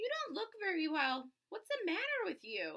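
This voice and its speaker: Using a squeaky, put-on character voice at an extremely high pitch, a woman speaks at a moderate pace with very wide pitch swings. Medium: read story.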